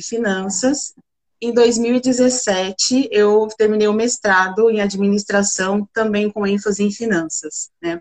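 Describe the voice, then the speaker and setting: Very slow speech with fairly even intonation and a dry, close sound with no echo. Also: woman. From interior of São Paulo state, Brazil (Bebedouro). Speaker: corporate leader in procurement, economist. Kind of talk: live-stream interview.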